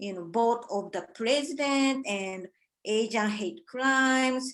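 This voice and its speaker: In a Japanese accent, a woman with a fairly high pitch and ordinary pitch variation speaks at a very slow pace. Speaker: artist. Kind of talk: artist talk presentation. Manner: halting.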